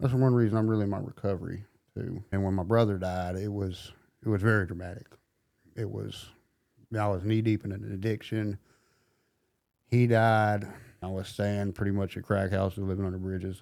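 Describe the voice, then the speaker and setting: With a Southern US accent, a man talks at a fairly low pitch in a monotone, flat intonation. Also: fairly quick pace. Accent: Southern US country. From US South, middle Tennessee. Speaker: recovering addict sharing his story. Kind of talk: testimony.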